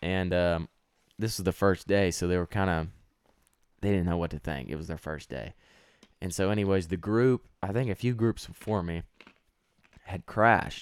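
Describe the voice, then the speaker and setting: A man with a Texan accent, very deep and low in pitch, ordinary pitch variation, moderate pace, long and frequent pauses, and a dry, close sound with no echo. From Texas. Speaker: college student. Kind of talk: casual chat.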